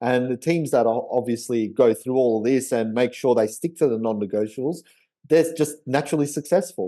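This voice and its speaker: With an Australian accent, a man speaks at a fairly quick pace in a dark, mellow tone at medium pitch. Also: ordinary pitch variation. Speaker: memory trainer and podcast host. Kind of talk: casual chat.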